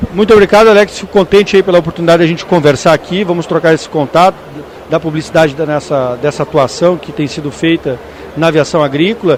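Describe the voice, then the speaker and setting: A man speaks in a high voice with a strong gaúcho accent at a very fast pace. Noticeable background noise comes through. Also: ordinary pitch variation. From Rio Grande do Sul, Brazil (Caçapava do Sul). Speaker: pilots' union president and airline pilot. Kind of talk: radio interview. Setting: at an agricultural aviation congress.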